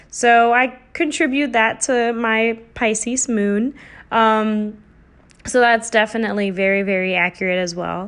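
An unremarkable speaking voice at a fairly slow pace, with ordinary pitch variation against a quiet background. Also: woman, fairly high pitch for a woman. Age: 20s. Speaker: podcast host, art therapist. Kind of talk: solo casual monologue.

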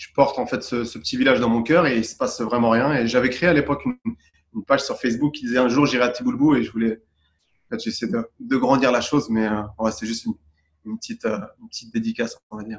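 His loudness rises and falls sharply. The man delivers his words very fast. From Paris region, France, Tunisian parents. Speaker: calligraphy and graffiti artist. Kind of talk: interview. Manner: halting, many fillers.

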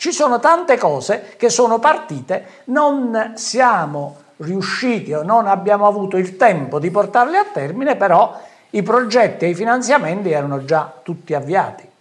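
A man's high-pitched voice with very wide pitch swings at a moderate pace, over noticeable background noise. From southern Italy, Ariano Irpino (Campania). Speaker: businessman and local politician. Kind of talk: political talk show interview.

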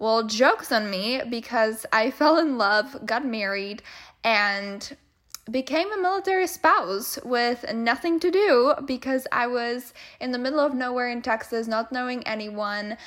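An animated tone in a Czech accent, with lively intonation at a fairly slow pace. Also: woman, high pitch for a woman. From Czech Republic. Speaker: podcast host, business mentor. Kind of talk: casual solo podcast monologue.

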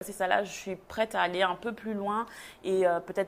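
A woman at a medium pitch speaks with monotone, flat intonation. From Belgium. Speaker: textile designer. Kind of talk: casual chat.

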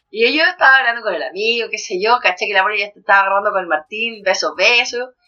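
A woman talks at a very fast pace in a Chilean accent. Her pitch is fairly high, with ordinary variation. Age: 30s. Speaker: podcast co-host. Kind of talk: casual chat.

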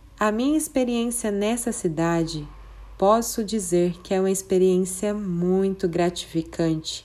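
Her tone dark and mellow, a woman speaks at medium pitch and a fairly slow pace, with ordinary pitch variation and very even loudness. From Brazil, Mato Grosso (Colíder). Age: 20s. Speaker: preschool teacher. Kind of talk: prepared presentation. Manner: formal.

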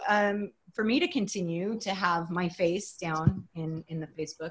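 Speaking at a moderate pace, a woman with an American accent and an unremarkable speaking voice uses lively intonation. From Texas (College Station), partly Los Angeles and Germany. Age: 50s. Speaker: writer and rancher. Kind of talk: interview conversation.

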